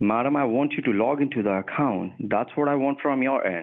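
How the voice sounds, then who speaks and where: A male speaker keeps a moderate tempo and ordinary pitch movement, with quiet in the background. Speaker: phone scammer posing as manager. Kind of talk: heated argument. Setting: phone call. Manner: irritated, scolding. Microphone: phone line.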